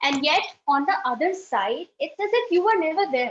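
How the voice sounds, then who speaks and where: Speaking fairly slowly with a Pakistani accent, a woman makes very wide pitch swings. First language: Urdu. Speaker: speech contestant. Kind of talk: contest speech.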